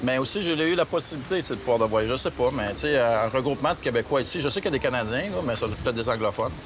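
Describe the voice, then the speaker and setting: The man talks at a very fast pace with lively intonation and a medium pitch. Noticeable background noise sits behind him. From Quebec. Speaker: travel agency owner. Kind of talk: casual interview. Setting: outdoors in the city. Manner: halting, searches for words.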